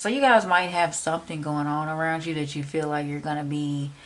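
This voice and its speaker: With music in the background, a woman with a very deep, low pitch speaks in a Southern US accent, her pitch varying in an ordinary way. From Memphis, Tennessee. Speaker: tarot reader. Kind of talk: tarot reading talk to camera.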